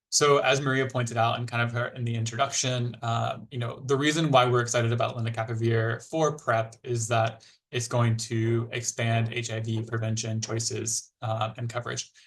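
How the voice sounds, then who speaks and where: Here a man speaks at a medium pitch in a somewhat breathy voice. His intonation is monotone and flat, with hardly any pauses. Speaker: HIV prevention technical presenter. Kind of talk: webinar presentation. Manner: fast; hesitant, many fillers.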